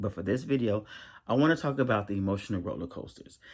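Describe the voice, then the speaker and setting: This man speaks at a moderate pace. His intonation is lively. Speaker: spiritual content creator. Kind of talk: casual video monologue. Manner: halting, many restarts.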